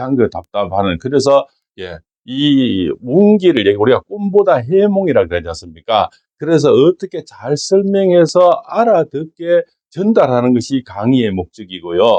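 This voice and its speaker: A fairly high-pitched man with a Gyeongsang accent, very wide pitch swings, and a fairly slow pace. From Gyeongsang region, Korea. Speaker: fortune teller and saju lecturer. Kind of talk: fortune-telling talk with political opinion. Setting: office. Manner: animated.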